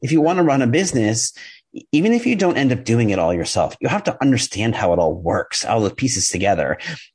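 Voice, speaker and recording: An energetic man with an American accent talks at a very fast pace and medium pitch, using very wide pitch swings, vocal fry and very even loudness. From New York. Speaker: copywriter and email marketing specialist. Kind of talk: podcast interview.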